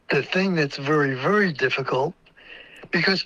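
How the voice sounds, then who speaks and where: A man speaks with a fairly high pitch and ordinary pitch variation. Noticeable background noise runs behind him. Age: 80s+. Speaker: inventor. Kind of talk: interview. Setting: audio-only call into live stream.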